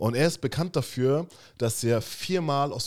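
A man with an unremarkable speaking voice, lively intonation and moderate pace, in a very clean recording with a silent background. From Germany. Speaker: podcast co-host. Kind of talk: casual chat.

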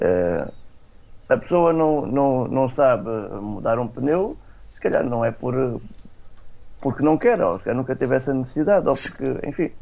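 A man of medium pitch talks at a fairly slow pace with lively intonation and long, frequent pauses. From Alentejo, Portugal (Alcácer do Sal). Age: 20s. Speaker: IT trainer for blind people. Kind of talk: radio interview.

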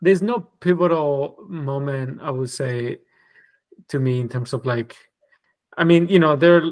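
Using ordinary pitch variation, a man with a Spanish accent speaks at a fairly slow pace with long, frequent pauses. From southern Spain, Granada. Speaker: designer and creative director. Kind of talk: casual interview.

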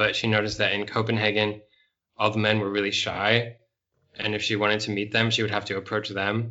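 This man speaks at a fairly low pitch with monotone, flat intonation. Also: fairly quick pace. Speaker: English teacher and podcast host. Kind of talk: interview for language learners.

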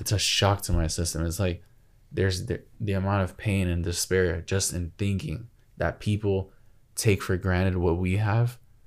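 This is a man with a normal speaking voice. He talks at a moderate pace and a fairly low pitch. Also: very clean recording, silent background. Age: 20s. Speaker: podcast co-host. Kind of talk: casual chat.

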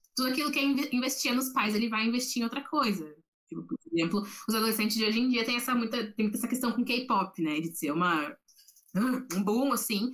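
This speaker's pace is fairly quick. Their intonation sounds lively. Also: woman. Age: 20s. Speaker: psychology student. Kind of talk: casual chat. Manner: halting, repeats words.

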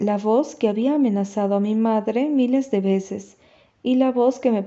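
This person reads aloud in a natural voice.

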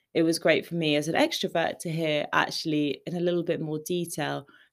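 A woman with a British accent and a fairly low pitch, at a moderate pace, on a very clean recording with a silent background. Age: 20s. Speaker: podcast host. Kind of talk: solo podcast recap, scripted-like chat. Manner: upbeat, friendly.

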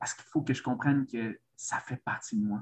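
This man's voice is somewhat breathy. He speaks at medium pitch and a moderate pace. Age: 30s. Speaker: men's coach. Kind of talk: interview conversation. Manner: halting, many repetitions.

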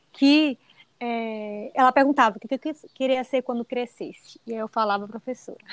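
A woman's high-pitched voice with ordinary pitch variation, in a dry, close sound with no echo. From Bahia, Brazil. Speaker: dentist and teacher. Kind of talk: casual interview.

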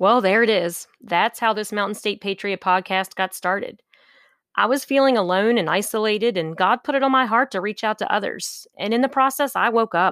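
A woman with a plain, everyday voice talks at a fairly quick pace and fairly high pitch with ordinary pitch variation, recorded dry and close with no echo in a very clean recording with a silent background. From West Virginia, US. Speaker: political podcast host. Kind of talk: solo podcast monologue.

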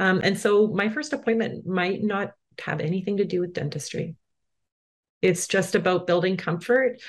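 In a Canadian accent, the speaker uses a normal speaking voice at a moderate pace with ordinary pitch variation. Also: woman, medium pitch for a woman. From Manitoba, Canada. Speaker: dental therapist. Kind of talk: interview.

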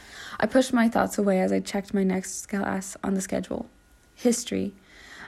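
The text is read aloud plainly. The reading is simple and plain.

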